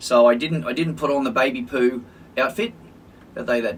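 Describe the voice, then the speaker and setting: With an Australian accent, a man at medium pitch talks at a very fast pace with lively intonation. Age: 60s. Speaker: social worker and podcast co-host. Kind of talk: casual chat. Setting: studio recording on camera.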